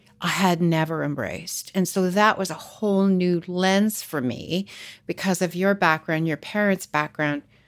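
A woman's unremarkable speaking voice with a Canadian accent, fairly low in pitch with ordinary pitch variation, at a moderate pace on a very clean recording with a silent background. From Canada. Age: 60s. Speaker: podcast host. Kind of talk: interview.

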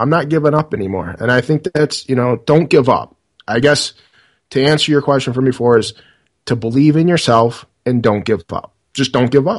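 Heard in a dry, close sound with no echo, a man of medium pitch speaks at a moderate pace with ordinary pitch variation. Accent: American. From US Midwest, Detroit suburbs. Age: 30s. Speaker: podcaster and IT worker. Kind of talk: interview. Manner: halting, many fillers.

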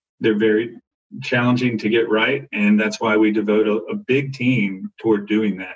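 Using an ordinary speaking voice, a man speaks at a moderate pace with fairly low pitch and fairly even intonation. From US South, Arkansas. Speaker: corporate development professional. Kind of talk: panel discussion. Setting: phone or video call.

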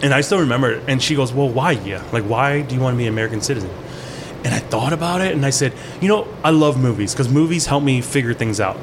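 A man with a medium pitch and ordinary pitch variation talks very fast against noticeable background noise. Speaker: chef. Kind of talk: casual chat.

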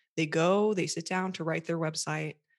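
A woman with an American accent has an unremarkable speaking voice, fairly low in pitch. Her intonation stays fairly even, and the background is quiet. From USA. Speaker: website copywriter and coach for therapists. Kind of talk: interview, conversational.

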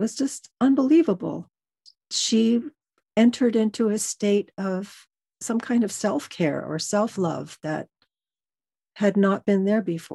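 A woman's somewhat breathy, dark, mellow voice at medium pitch, fairly slow and lively in intonation, with long, frequent pauses, a dry, close sound with no echo and a quiet background. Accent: American. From Los Angeles, California. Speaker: organizational psychologist. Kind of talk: casual interview conversation.

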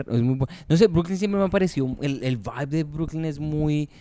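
A man is speaking here. The tone he uses is dark and mellow. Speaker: podcast host and comedian. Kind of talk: casual chat.

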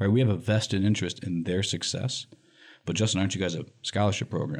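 Talking at a fairly quick pace with an American accent, a man has an ordinary speaking voice and a fairly low pitch. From US Midwest, Lansing, Michigan. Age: 40s. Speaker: nonprofit director. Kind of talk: interview.

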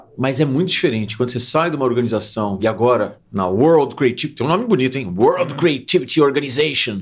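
A man talks in a plain, everyday voice at a medium pitch. His intonation is lively and his pace moderate. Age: 50s. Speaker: marketing and innovation executive, speaker. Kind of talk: casual interview chat.

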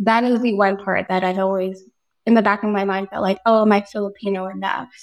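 A woman's fairly high, fairly even voice in an American accent, a normal speaking voice at a fairly quick pace. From Daly City, California. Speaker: nonprofit program manager. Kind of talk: casual chat.

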